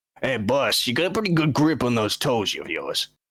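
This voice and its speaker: A man puts on a raspy character voice. It sits fairly high in pitch and moves at a moderate pace. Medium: actual play. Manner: casual, chatty, says "man" and "boss".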